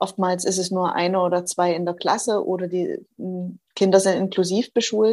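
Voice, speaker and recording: A woman with a slight Saxon accent speaks at a moderate pace in a medium pitch, her dark, mellow tone delivered with monotone, flat intonation. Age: 40s. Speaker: social worker, association co-founder. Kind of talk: interview.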